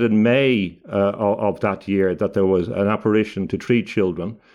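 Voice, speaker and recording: A fairly low-pitched man with an Irish accent, speaking at a fairly slow pace against a quiet background. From Ireland. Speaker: barrister and author. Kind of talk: interview. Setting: video call. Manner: halting, many repetitions.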